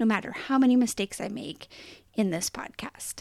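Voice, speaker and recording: The speaker is a woman whose voice sits fairly high. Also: dry, close sound with no echo. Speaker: podcast host. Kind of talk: solo podcast monologue, reflective. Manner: animated, enthusiastic.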